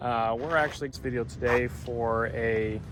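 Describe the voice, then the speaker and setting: Music plays in the background behind a man. His medium-pitched voice keeps fairly even intonation. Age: 20s. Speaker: channel host. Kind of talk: casual walkthrough interview.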